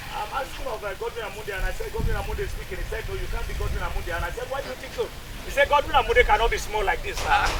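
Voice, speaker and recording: Very fast, a man speaks in a room with audible echo and noticeable background noise. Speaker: radio broadcaster. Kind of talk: public address to community.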